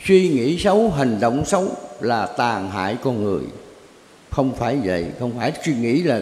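In a space with audible room echo, a man speaks with very wide pitch swings. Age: 80s+. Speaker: Buddhist teacher answering questions. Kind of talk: religious Q&A session. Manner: rambling, conversational. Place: hall.

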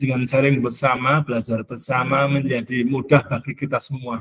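A man speaks here. His voice is somewhat breathy. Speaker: school supervisor giving welcome speech; webinar host or speaker. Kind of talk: formal webinar welcome speech. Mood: warm, welcoming. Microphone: video call.

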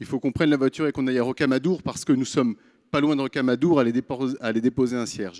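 Quiet background behind a man speaking. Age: 30s. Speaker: startup founder and CEO. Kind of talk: pitch presentation. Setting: stage with audience. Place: stage. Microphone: handheld.

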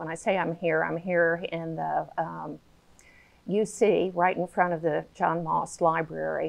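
At a fairly slow pace, a woman talks in a monotone with flat intonation. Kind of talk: live Q&A introduction. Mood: warm, welcoming. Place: hall. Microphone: lapel.

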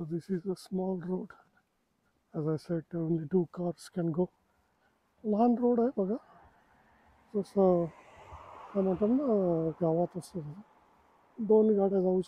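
A high-pitched man talks at a fairly slow pace with long, frequent pauses and ordinary pitch variation, in a dry sound with no echo and light background noise. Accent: Marathi. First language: Marathi. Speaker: travel vlogger; vlogger guide. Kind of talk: casual walking vlog. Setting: outdoors. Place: street. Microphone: phone near.

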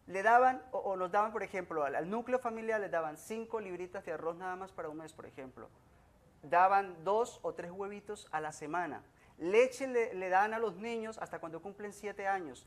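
This man has a high pitch, ordinary pitch variation and a moderate pace, and his loudness swings widely. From Colombia. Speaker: plaintiff on a TV court show. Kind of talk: testimony. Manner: halting. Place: studio. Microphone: podium.

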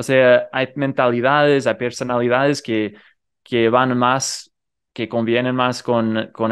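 Against a quiet background, the speaker talks with a non-native accent. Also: man. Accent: non-native Rioplatense Spanish. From United States. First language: English (speaking Spanish). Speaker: polyglot youtuber. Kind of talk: interview.

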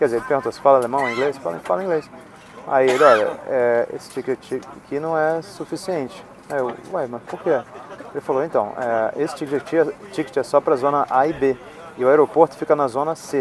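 Noticeable background noise sits under a dry sound with no echo. A man speaks at a fairly high pitch with ordinary pitch variation. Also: fairly quick pace. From Brazil, Niterói (Rio de Janeiro); Brazil. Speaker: travel vlogger. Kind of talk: casual vlog chat. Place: plane. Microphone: earbuds.

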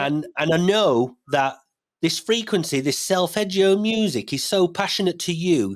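Against a quiet background, a man with an ordinary speaking voice talks at a moderate pace with lively intonation. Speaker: podcast host. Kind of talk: podcast host introduction. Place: home room. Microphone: studio mic.

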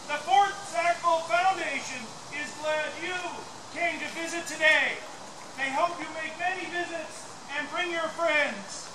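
A loud man at a fairly slow pace, amid noticeable background noise. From Canada. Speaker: town crier. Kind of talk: ceremonial town crier proclamation. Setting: outdoors. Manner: loud, declamatory. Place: open country. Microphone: camera far.

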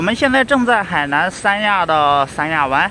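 The speech moves at a moderate pace, recorded with a dry sound with no echo and noticeable background noise. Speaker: vlogger. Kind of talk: casual talk to camera. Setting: outdoors. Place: beach. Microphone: phone near.

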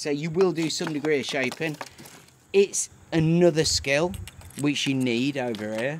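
With a Yorkshire accent, a man talks at a fairly high pitch and fairly slow pace with ordinary pitch variation over light background noise. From northern England. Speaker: stonemason. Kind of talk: casual chat. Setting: outdoors. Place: open country.

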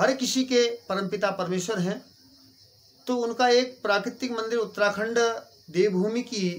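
A man with a high pitch and fairly even intonation, at a very slow pace with long, frequent pauses. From Uttarakhand. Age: 40s. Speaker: temple priest. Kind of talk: interview. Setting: outdoors at a temple. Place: home room. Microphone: phone near.

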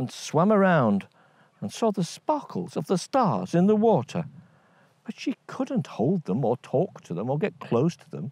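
In a quiet, dry recording with no echo, a man speaks at a fairly slow pace with very wide pitch swings and big swings in loudness. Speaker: storyteller. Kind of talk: storytelling. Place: open country.

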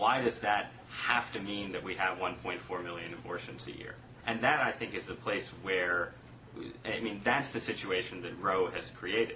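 Amid noticeable background noise, a man with a fairly low voice talks at a moderate pace, his pitch varying in an ordinary way. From US Northeast, southern Connecticut. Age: 20s. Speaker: magazine writer and blogger. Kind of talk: casual political debate. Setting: remote video call from an office.

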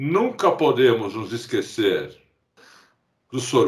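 A man speaks at a very slow pace. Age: 50s. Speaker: podcast co-host. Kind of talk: casual chat.

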